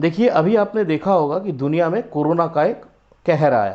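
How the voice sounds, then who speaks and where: A man's high-pitched voice with lively, bouncing intonation. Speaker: business owner presenting product. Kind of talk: product pitch video. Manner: hesitant, frequent fillers.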